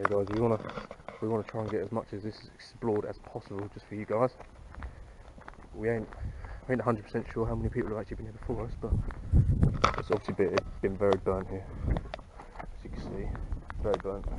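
A man talking at a very fast pace, in a dry sound with no echo, over loud background noise. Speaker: urban explorer vlogger. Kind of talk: casual vlog chat. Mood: uneasy, curious. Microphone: phone near.

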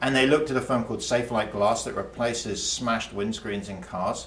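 A man with an English accent at a very fast pace, ordinary pitch variation, and audible room echo. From England. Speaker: economics professor. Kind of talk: explanatory interview talk. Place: studio.

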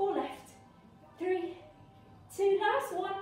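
Over faint background music, a woman talks at a moderate pace with audible room echo. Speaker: fitness instructor. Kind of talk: workout instruction. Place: home room. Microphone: camera far.

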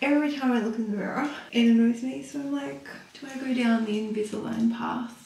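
In a room with audible echo, a woman speaks at a fairly quick pace and fairly high pitch, her slightly mellow tone carrying vocal fry and little pitch movement.

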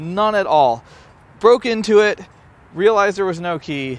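The recording of a man speaking at a moderate pace is dry, with no echo. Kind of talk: casual vlog chat. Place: street.

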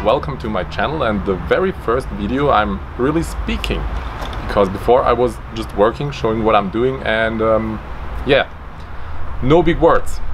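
Over noticeable background noise, a man speaks with a non-native accent. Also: moderate pace. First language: German. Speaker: DIY maker. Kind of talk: unscripted explainer to camera. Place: garden.

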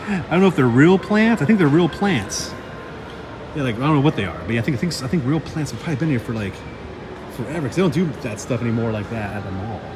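A man talks at a very fast pace with noticeable background noise behind him. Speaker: vlogger exploring a mall. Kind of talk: casual vlog chat. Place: hall. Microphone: phone near.

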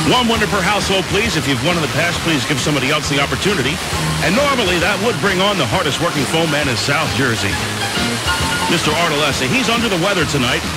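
A man speaks very fast against loud background noise. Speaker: radio DJ. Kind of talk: oldies radio show host patter. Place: studio.

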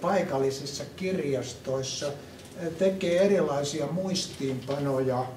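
In a room with audible echo and light background noise, a man with a fairly high pitch and ordinary pitch variation speaks at a very slow pace. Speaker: philosopher. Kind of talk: group discussion. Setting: museum. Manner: halting. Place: hall.

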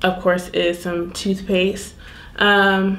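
A woman at a very slow pace, monotone and flat in intonation, over noticeable background noise. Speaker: lifestyle vlogger. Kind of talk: casual vlog chat.

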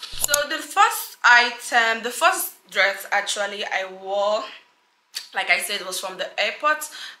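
Speaking at a very slow pace, a woman with a fairly high voice swings her pitch very widely as room echo is heard. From Nigeria. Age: 20s. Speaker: lifestyle YouTuber. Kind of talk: fashion vlog / lookbook. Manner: animated. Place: home room.

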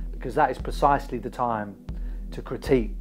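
A man's voice with faint music in the background. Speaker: political commentator. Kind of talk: commentary. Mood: critical, impassioned. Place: home room. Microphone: lapel.

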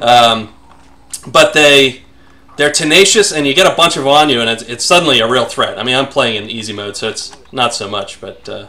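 A man's fairly high voice at a fairly quick pace, with lively intonation and big swings in loudness. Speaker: former lead programmer, game developer. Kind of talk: casual podcast talk over gameplay.

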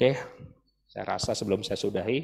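The setting is a quiet background. In it, a man speaks at a fairly quick pace. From Indonesia, Bandung; Indonesia. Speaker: dental professor, guest lecturer. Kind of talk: lecture. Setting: lecture hall with audience. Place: hall. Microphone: handheld.

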